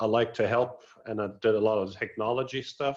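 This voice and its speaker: Fairly slow speech from a man at a medium pitch, the intonation fairly even. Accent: slight German. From northern Germany (Wilhelmshaven). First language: German. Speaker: lighting product manager. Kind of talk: webinar interview.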